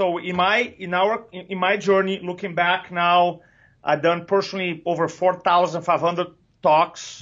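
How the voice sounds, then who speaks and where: A man talks with a Brazilian accent. His pitch is high. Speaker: public speaking coach. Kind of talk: interview.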